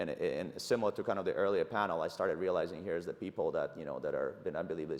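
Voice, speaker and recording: Speaking very fast, a man talks in a Russian accent. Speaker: tech startup CEO. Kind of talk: conference fireside chat. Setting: conference stage with audience. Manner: halting, many fillers and restarts.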